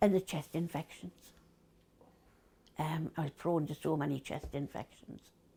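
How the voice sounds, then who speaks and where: A woman's very deep, low voice with a dark, mellow tone and a Geordie accent, at a moderate pace, with fairly even intonation and long, frequent pauses. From Newcastle. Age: 70s. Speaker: COPD patient, former smoker. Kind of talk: interview answer.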